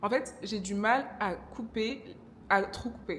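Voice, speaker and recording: Noticeable background noise sits behind a woman speaking at a medium pitch with ordinary pitch variation. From DR Congo. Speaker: vlogger. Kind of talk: casual vlog talk to camera. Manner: hesitant, many fillers.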